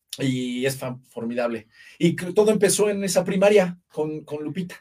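This man speaks with a high voice and ordinary pitch variation. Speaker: actor. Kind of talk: casual interview.

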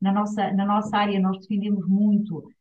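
A somewhat breathy woman at medium pitch, speaking at a moderate pace. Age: 50s. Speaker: UN agency director. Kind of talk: interview. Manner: hesitant fillers.

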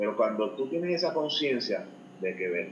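Noticeable background noise and audible room echo fill the recording. Through them, a man's voice comes across. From Puerto Rico. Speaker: financial advisor. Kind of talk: interview.

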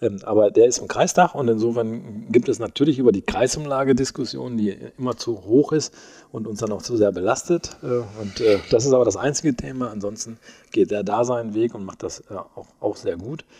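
At a moderate pace, a man with a medium pitch and a dark, mellow tone speaks with ordinary pitch variation and big swings in loudness. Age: 60s. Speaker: mayor. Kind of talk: interview. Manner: hesitant, many filler sounds.

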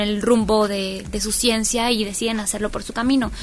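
Delivered at a moderate speed, the speech holds to one note. Its intonation stays flat throughout. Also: woman. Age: young. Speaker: community activist. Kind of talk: interview.

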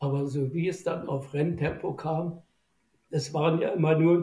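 Fairly high in pitch with a dark, mellow tone, the man speaks at a moderate pace with fairly even intonation. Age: 80s+. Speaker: boat designer, former rower. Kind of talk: interview. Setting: remote recording.

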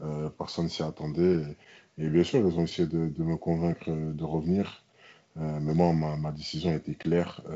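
Very deep and low, a man speaks at a fairly slow pace with monotone, flat intonation. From France, Toulouse. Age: 20s. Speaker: American football player, former taekwondo champion. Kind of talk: interview. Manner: hesitant, with fillers and repetitions.

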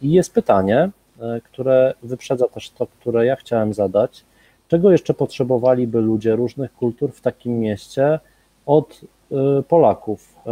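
A man speaks with a dark, mellow tone and ordinary pitch variation. His loudness swings widely. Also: medium pitch for a man, moderate pace. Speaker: cultural centre event host. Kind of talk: live-streamed panel moderation.

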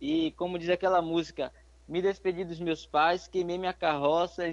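At a moderate pace, a man speaks with a high pitch and monotone, flat intonation. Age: 20s. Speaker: young missionary. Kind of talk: interview testimony; exhortation to listeners.

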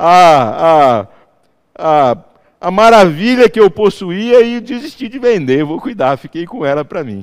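With a high pitch that makes very wide swings, a man speaks at a fairly slow pace, his loudness rising and falling sharply. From interior of São Paulo state, Brazil. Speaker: pastor. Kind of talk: sermon. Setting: church.

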